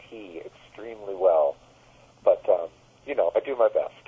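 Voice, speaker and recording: A man with an American accent speaks at a moderate pace. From United States. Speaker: musician, keyboardist. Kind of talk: phone interview.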